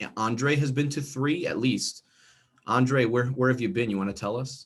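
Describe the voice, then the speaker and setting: With a New Jersey accent, a man talks at a moderate pace and a medium pitch, using ordinary pitch variation. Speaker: instructional coach. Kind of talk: online training workshop. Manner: casual, animated.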